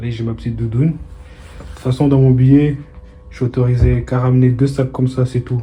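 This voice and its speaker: In a flat monotone, the speech runs at a fairly quick pace. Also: man. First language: not French (speaking French). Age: 20s. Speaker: vlogger. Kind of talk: casual vlog monologue. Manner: casual, hesitant with fillers.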